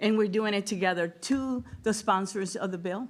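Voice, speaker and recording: This woman has a Spanish accent and ordinary pitch variation, recorded very cleanly against a silent background. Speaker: state legislator. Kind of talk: ceremonial speech. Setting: bill signing ceremony with audience.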